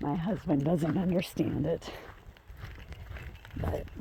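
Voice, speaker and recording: A woman, quiet and fairly low in pitch, with ordinary pitch variation at a fairly slow pace. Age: 50s. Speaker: vlogger walking her dogs. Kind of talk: casual vlog chat. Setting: outdoors on a walk. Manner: quiet, hard to hear.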